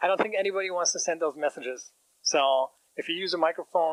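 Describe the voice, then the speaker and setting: Speaking at a very fast pace, a man uses a high pitch with ordinary pitch variation and a German accent. The sound is dry and close without any echo. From Germany. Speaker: startup founder. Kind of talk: business pitch presentation.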